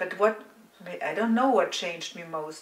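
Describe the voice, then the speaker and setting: A woman with a German accent speaks at a moderate pace and a medium pitch against noticeable background noise. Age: 60s. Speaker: psychotherapist. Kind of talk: interview. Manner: halting.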